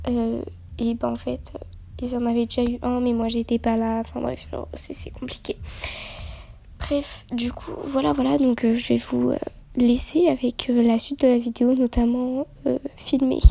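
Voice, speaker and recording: A soft-spoken woman talks at a fairly slow pace. Her speech has long, frequent pauses. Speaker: youtuber. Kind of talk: casual vlog intro.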